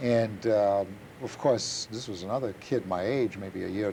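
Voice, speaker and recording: A man with a German accent talks at a fairly low pitch. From Germany. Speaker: Holocaust survivor. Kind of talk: testimony. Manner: halting.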